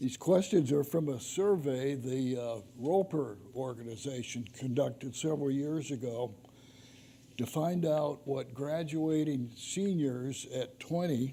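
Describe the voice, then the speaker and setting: A dark, mellow voice at a fairly slow pace, with ordinary pitch variation and audible room echo. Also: man. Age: 80s+. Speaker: author giving a church adult-education talk. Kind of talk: lecture.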